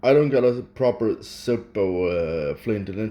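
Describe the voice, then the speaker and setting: A man with a Swedish accent speaks at a very slow pace. His pitch is fairly low, with ordinary pitch variation. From Sweden. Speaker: hobbyist vlogger. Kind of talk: casual unscripted talk. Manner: halting.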